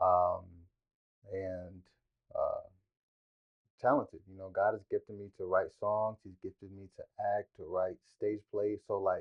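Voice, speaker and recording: Speaking at a fairly slow pace, a man leaves long, frequent pauses, and his loudness swings widely. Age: 20s. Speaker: singer-songwriter and creative. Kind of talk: interview conversation.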